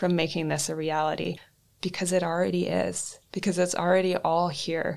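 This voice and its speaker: Speaking with a Canadian accent, a woman uses a fairly low, monotone voice with flat intonation and vocal fry at a moderate pace. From northern British Columbia, Canada. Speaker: podcast host. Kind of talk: solo podcast monologue. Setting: studio.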